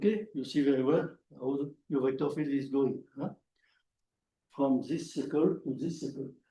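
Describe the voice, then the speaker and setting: A man with a French accent and a dark, mellow, somewhat breathy tone speaks at a moderate pace in a fairly high pitch, his intonation fairly even and his pauses long and frequent. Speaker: mathematician. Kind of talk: lecture. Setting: conference talk with audience. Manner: halting.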